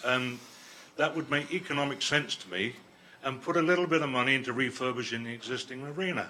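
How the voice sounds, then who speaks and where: Speaking at a very fast pace, a man with a medium pitch uses ordinary pitch variation. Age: 70s. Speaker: resident speaking at council meeting. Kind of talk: public comment.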